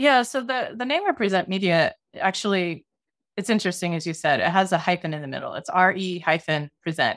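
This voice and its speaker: Lively intonation and a fairly quick pace mark this woman's ordinary speaking voice, which sits at medium pitch. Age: 40s. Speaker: documentary filmmaker and media nonprofit co-founder. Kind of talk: interview conversation. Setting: video call.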